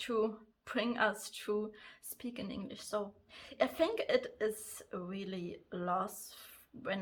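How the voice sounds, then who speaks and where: Speaking at a very slow pace, a woman uses a bright, sharp tone and a fairly high pitch. She has a German accent and ordinary pitch variation. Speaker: crafts and planner vlogger. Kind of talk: casual vlog talk. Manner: halting, many fillers.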